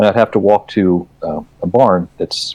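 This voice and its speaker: A man talks with an American accent. The sound is dry and close with no echo. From rural West Virginia. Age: 50s. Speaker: children's book author. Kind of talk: casual chat.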